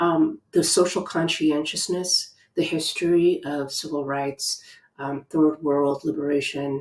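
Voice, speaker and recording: In a Spanish accent, a woman speaks with a very deep, low pitch and fairly even intonation. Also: fairly slow pace. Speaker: educator. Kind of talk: reflective talk. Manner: many filler ums.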